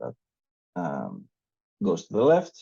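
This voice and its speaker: A man speaks at a medium pitch. He has a non-native accent. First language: not English. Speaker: meetup organizer presenting a paper. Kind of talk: technical presentation with live coding. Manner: hesitant, many fillers.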